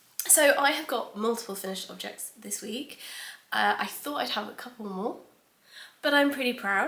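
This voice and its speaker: Noticeable background noise sits behind a woman's high-pitched voice. She speaks in a British accent. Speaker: knitting podcaster and knitwear designer. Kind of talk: casual chat. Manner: hesitant with frequent ums.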